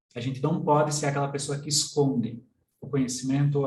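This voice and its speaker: Somewhat breathy and medium in pitch, a man's voice carries audible room echo. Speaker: systemic constellation coach. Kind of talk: online workshop lecture. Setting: live stream.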